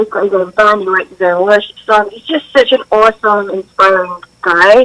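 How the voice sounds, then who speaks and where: In a British accent, a woman talks at a fairly quick pace and fairly high pitch with ordinary pitch variation, the sound dry and close with no echo. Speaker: drummer and singer. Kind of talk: interview answer.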